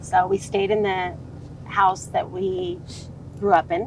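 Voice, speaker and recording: Amid noticeable background noise, a woman speaks with a fairly low pitch. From Southern California (Orange County). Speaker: sales consultant. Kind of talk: podcast interview. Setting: outdoors by a lake.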